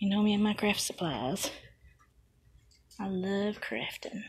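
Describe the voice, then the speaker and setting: Through noticeable background noise, a woman with a Southern US accent speaks at a medium pitch with ordinary pitch variation. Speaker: crafting vlogger. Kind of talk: casual walk-around vlog. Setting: in a store.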